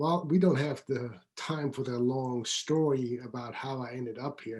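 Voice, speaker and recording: Speaking in a Swiss accent, a man keeps a medium pitch with fairly even intonation. His pace is fairly slow. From Switzerland, outskirts of Zurich. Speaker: business coach. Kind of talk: interview.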